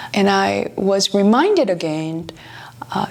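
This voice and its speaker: Amid noticeable background noise, a woman speaks very slowly with ordinary pitch variation. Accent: Korean. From South Korea. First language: Korean. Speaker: pianist and author. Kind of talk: travel vlog narration.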